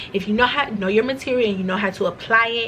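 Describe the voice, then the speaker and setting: A woman speaks in an animated tone with ordinary pitch variation. Background noise is noticeable. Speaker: vlogger, former nursing student. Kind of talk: casual vlog monologue. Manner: fast.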